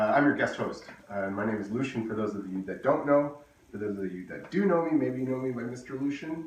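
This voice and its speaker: A man's medium-pitched voice with lively intonation, a fairly quick pace, audible room echo and noticeable background noise. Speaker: engineer guest-hosting a kindergarten activity video. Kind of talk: tutorial for young children. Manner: fast.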